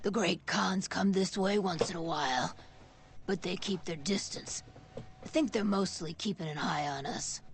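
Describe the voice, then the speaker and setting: A put-on character voice at a middle pitch and moderate pace, over clear background noise. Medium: video game. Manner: casual, friendly.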